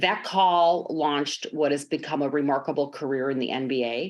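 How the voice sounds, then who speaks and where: A woman's very deep, low voice with a Chicago accent at a moderate pace. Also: quiet background. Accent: American Midwest (Chicago). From Chicago, US Midwest, Greek-American family. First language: Greek. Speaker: sports team executive. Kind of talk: podcast interview.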